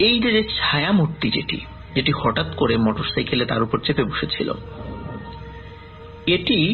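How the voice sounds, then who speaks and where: A man's fairly high voice with very wide pitch swings, over music in the background. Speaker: horror story narrator reading a listener's story. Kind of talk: horror radio story narration.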